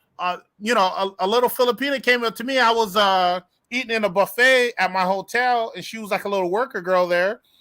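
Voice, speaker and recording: In a very clean recording with a silent background, a man speaks in a raised, projected voice, high-pitched and bright, sharp in tone, at a fairly quick pace. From United States. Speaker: youtube channel host. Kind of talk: casual chat on a livestream. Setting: live stream.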